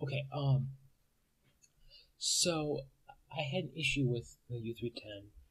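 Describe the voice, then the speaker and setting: A man with a fairly high pitch speaks with ordinary pitch variation. His speech has long, frequent pauses. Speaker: college student, computer science major. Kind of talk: casual talk to camera. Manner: fast.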